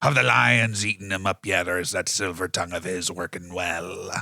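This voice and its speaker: A man's raspy, very deep, low put-on character voice on a very clean recording with a silent background. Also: moderate pace. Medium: actual play. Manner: growly pirate talk.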